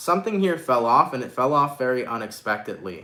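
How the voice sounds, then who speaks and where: A man speaks with a bright, sharp tone and an animated delivery, his pitch varying in an ordinary way. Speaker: tarot reader. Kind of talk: live-stream tarot reading. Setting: live stream with chat. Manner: stutters at times; casual, animated.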